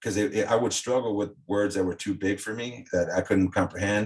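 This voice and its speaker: This man talks with fairly even intonation. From South Texas. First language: Spanish. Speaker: former coaching client, ex-fighter. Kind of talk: casual interview chat. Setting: podcast interview.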